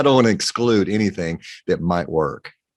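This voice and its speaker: A man speaks in a Texan accent with ordinary pitch variation. The background is quiet. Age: 60s. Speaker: pharmacist. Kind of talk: interview.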